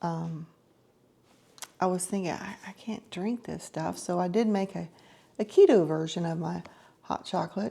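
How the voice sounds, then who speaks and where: A woman at medium pitch with ordinary pitch variation. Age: 60s. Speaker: lifestyle vlogger. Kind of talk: casual vlog monologue. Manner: halting, many fillers and repetitions.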